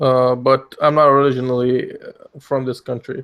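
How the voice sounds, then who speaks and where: At a moderate pace, a man speaks with a medium pitch and monotone, flat intonation. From Middle East. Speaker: anime theorist. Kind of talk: casual chat.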